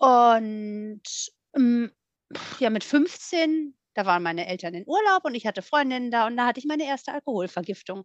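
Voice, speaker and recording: Her intonation is lively, and the woman's voice sits high. She keeps a moderate pace. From Rhineland, western Germany (Voreifel near Bonn). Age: 40s. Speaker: guest sharing recovery story. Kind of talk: testimony.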